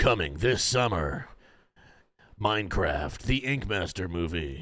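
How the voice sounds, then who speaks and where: A man speaks at a fairly slow pace in a put-on character voice. His fairly low pitch makes very wide swings up and down. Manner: dramatic, deep.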